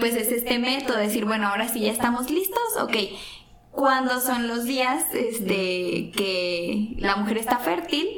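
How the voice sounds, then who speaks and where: This woman talks at a fairly slow pace, her fairly high voice rising and falling in a lively way. Some room echo and noticeable background noise can be heard. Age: 20s. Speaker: teacher and guest. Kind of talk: casual chat. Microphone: some echo.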